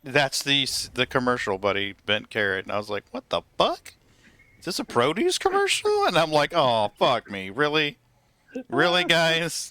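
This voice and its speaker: Recorded dry and close with no echo, a man with a fairly high pitch and a bright, sharp tone speaks at a moderate pace, his pitch swinging very widely. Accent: slight Southern US. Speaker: gaming streamer. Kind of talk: casual chat.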